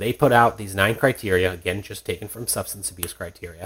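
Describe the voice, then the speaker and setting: On a very clean recording with a silent background, a man speaks at a fairly low pitch, somewhat breathy, with fairly even intonation. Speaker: clinical psychologist and author. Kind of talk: interview discussion. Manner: hesitant, repeats words.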